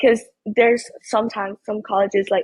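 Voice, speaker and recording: The voice is somewhat breathy. It keeps a moderate pace. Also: woman. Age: young. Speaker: college student, scholarship winner. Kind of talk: interview. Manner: hesitant.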